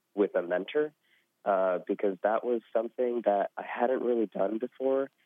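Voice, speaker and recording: With an American accent and an unremarkable speaking voice, a man talks at a moderate pace and medium pitch. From US Southwest. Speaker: former scholarship intern. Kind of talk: interview. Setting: phone call.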